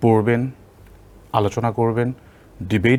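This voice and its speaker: It is a man with an ordinary speaking voice. His pitch sits in the medium range. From Bangladesh, Nilphamari (northern). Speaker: university professor. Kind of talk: interview. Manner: heavy Bengali-English code-switching.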